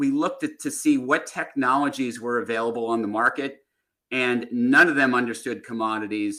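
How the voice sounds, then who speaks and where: In an American accent, a man talks at a moderate pace with medium pitch, fairly even intonation and a bright, sharp tone on a very clean recording with a silent background. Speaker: tech company executive. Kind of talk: podcast interview. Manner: hesitant, many fillers.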